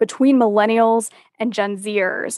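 Over a quiet background, a woman uses a normal speaking voice, fairly high and fairly even in intonation, at a fairly slow pace. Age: 20s. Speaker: business consultant and author. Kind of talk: interview.

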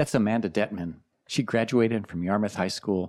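A man with a plain, everyday voice speaks at a fairly low pitch and moderate pace with ordinary pitch variation. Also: very clean recording, silent background. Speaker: poet and radio host. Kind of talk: scripted narration. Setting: studio.

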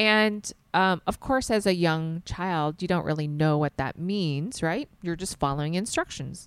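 A normal speaking voice with an American accent, fairly slow yet with hardly any pauses, ordinary pitch variation, in a very clean recording with a silent background. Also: woman, fairly low pitch for a woman. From US South. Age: 40s. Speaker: nonprofit co-founder. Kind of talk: casual interview.

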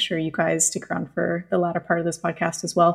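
A somewhat breathy voice with a Canadian accent on a very clean recording with a silent background. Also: woman. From Canada (British Columbia). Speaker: podcast host. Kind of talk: casual interview.

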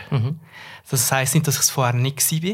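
The recording is very clean, with a silent background. A man with a fairly high pitch sounds somewhat breathy. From central Switzerland, Nidwalden. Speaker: communications professional. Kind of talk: casual interview.

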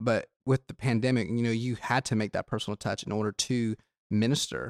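Speaking at a fairly quick pace in a slight Southern US accent, this voice has a dry, close sound with no echo on a very clean recording with a silent background. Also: man. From South Georgia. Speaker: student pastor. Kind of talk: casual chat. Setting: studio. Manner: energetic when fired up.

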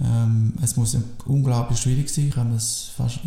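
A man at medium pitch speaks in a monotone, flat intonation, with noticeable background noise behind him. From Biel, Switzerland (French-speaking). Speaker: sports teacher and coach. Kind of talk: casual chat. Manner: halting.

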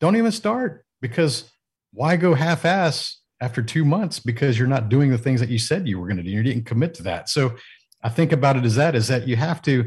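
Over a quiet background, a man talks at a fairly quick pace, somewhat breathy, with lively intonation. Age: 40s. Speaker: business mentor and executive coach. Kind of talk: casual interview. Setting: video call from home studio.

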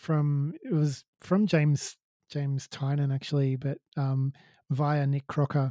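A man with an Australian accent speaks very slowly at a fairly high pitch, his tone dark and mellow and his intonation flat and monotone. The sound is dry and close with no echo, on a very clean recording with a silent background. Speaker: co-founder of a non-alcoholic beer company. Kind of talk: casual chat.

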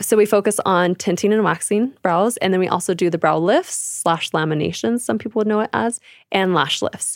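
A woman speaks at a medium pitch with ordinary pitch variation and very even loudness, the sound dry and close with no echo. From California, rural. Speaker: beauty business owner. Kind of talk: interview.

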